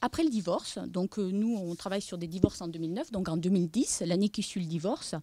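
A woman with a southern French accent speaks at a moderate pace in a dark, mellow tone. The sound is dry with no echo, over a quiet background. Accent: noticeable regional southern French. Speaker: demographic researcher. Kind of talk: conference presentation; lecture. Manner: hesitant, many fillers. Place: meeting room. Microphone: podium.

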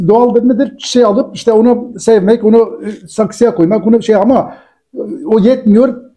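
A man speaks at an extremely high pitch with a dark, mellow tone. His loudness stays very even, his intonation fairly even, against a quiet background. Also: moderate pace. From Turkey. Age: 60s. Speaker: cartoonist; guest. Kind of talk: interview. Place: office.

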